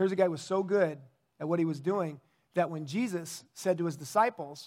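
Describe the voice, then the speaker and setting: Fairly quick speech from a man, pitched high, with ordinary variation in pitch. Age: 50s. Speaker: pastor. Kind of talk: sermon.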